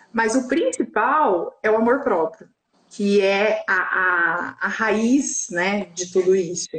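Her voice sits fairly high for a woman, and she talks at a very slow pace. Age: 40s. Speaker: sex coach. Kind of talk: casual chat. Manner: animated.

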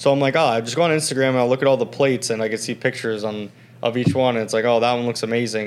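Delivered at a very fast pace, the speech keeps fairly even intonation. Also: man. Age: 20s. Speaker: podcast host. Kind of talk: casual chat.

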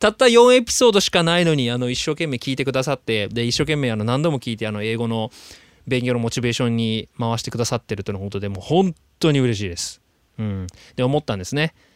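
A man at a very fast pace with lively intonation, in a dry, close sound with no echo and a very clean recording against a silent background. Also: medium pitch for a man. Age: 30s. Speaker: actor and podcast host living in Australia. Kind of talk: casual solo podcast monologue.

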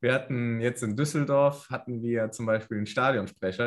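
This is a man talking. He uses a medium pitch. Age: 20s. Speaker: American football kicker. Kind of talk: casual interview.

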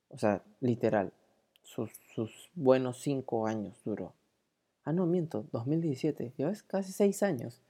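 A woman's very deep, low voice in a Peruvian accent, dark and mellow in tone, at a very slow pace with very wide pitch swings. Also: big swings in loudness. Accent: Peruvian Spanish (Lima). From Peru, Lima. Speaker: podcast host. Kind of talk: casual monologue.

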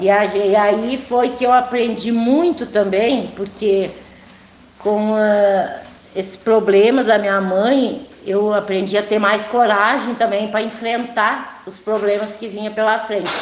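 In a room with audible echo and noticeable background noise, a woman speaks very slowly with a fairly high pitch and fairly even intonation. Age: 50s. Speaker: farmer. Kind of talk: testimony.

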